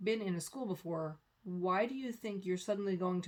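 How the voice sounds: Natural reading voice, normal rise and fall in pitch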